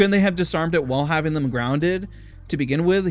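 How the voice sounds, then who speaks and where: Over music in the background, a man with a high pitch speaks with lively intonation. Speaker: movie reviewer. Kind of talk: film review monologue. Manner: stammering; passionate.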